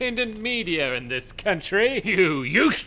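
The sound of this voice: Lively intonation in an unforced reading voice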